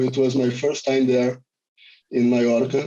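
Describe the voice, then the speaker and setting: A man with a Brazilian accent, medium pitch and a dark, mellow tone, in a monotone, flat intonation at a moderate pace. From Rio de Janeiro, Brazil. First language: Portuguese. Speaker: filmmaker, cinematographer. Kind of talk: film Q&A.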